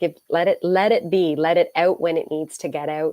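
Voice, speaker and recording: Speaking with a slight Canadian accent, a woman uses a fairly low pitch and a fairly slow pace. The recording is very clean, with a silent background. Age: 40s. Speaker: author and minister. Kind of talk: interview.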